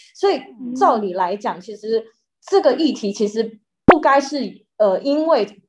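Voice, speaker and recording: Over loud background noise, a woman speaks at a high pitch with very wide pitch swings. Her loudness swings a lot, and her pace is fairly slow. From Taiwan. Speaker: news reporter. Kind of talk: interview explanation. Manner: halting with fillers. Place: home room. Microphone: webcam.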